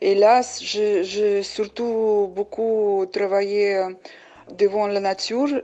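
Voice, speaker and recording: A woman speaks at a very slow pace and a medium pitch, her intonation monotone and flat. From Uzbekistan, Samarkand. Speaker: painter. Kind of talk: testimony. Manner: hesitant, many fillers.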